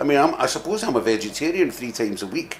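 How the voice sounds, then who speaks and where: A man with a Scottish accent at a fairly quick pace, amid noticeable background noise. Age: 60s. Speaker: rock bassist. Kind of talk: interview. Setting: music venue.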